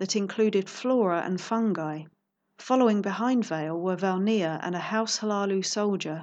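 Natural-voiced reading aloud, ordinary pitch variation, quiet background

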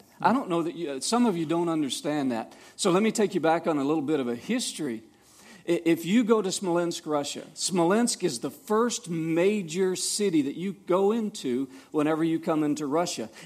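With a Southern US accent, a high-pitched man talks at a moderate pace using lively intonation. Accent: Southern US (Georgia). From US South, Savannah, Georgia. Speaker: missionary. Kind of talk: testimony. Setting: church. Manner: halting.

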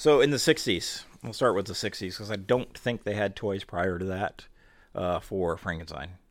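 Over a silent background in a very clean recording, a man with a plain, everyday voice and fairly low pitch talks at a moderate pace with ordinary pitch variation. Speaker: podcast host. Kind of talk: casual chat.

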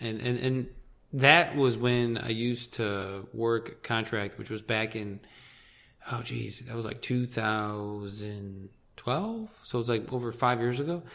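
Speaking in a Midwestern American accent, a man keeps a medium pitch, fairly even intonation and a fairly slow pace. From Michigan, southeast near Detroit. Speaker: podcast guest, political radio listener. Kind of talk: casual chat.

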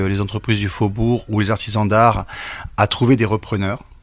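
Middle-range male pitch with ordinary rise and fall. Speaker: director of a design and crafts school. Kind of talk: interview. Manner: energetic.

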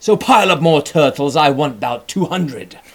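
A man uses a booming, put-on character voice, raised and projected. His pitch is fairly high and his pace moderate. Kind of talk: royal, imperious. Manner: booming, commanding.

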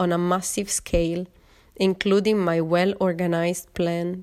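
A woman with an Italian accent, at medium pitch and a moderate pace. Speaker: podcast host, yoga and art teacher. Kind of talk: personal narration.

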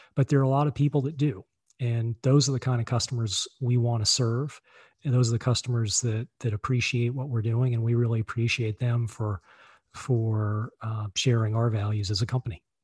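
Over a quiet background, a somewhat breathy man with an American accent speaks at a fairly quick pace with fairly even intonation, the sound dry and close with no echo. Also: medium pitch for a man. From Virginia, US. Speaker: entrepreneur, car dealership owner, author. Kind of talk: interview.

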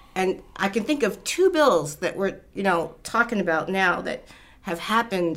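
Against a silent background in a very clean recording, a woman speaks at a medium pitch. She has a plain, everyday voice, a moderate pace and lively intonation. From Baltimore, Maryland. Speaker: state senator. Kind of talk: interview.

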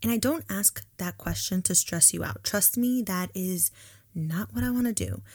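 A woman's animated, upbeat tone at a fairly slow pace, on a very clean recording with a silent background. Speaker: podcast host, student housing professional. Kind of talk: guided breathing meditation, calm and soothing, then casual chat. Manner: slow, soft, rhythmic and coaxing during breathing exercise; animated, candid, conversational, upbeat.

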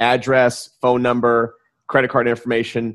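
Fairly quick delivery from a man at a medium pitch. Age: 30s. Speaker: podcast host. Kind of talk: interview. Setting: call. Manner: animated.

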